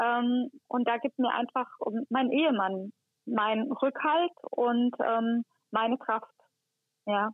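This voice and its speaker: A woman's high voice at a very slow pace, with very even loudness, ordinary pitch variation and long, frequent pauses. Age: 40s. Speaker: head of hospital housekeeping. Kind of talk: interview. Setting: phone call.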